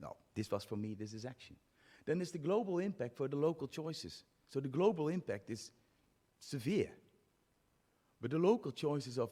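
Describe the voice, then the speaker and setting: A man's dark, mellow voice with a Dutch accent, fairly quick pace and very wide pitch swings, in a very clean recording with a silent background. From Netherlands. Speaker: physiotherapy academic, conference speaker. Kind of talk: conference talk. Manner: halting.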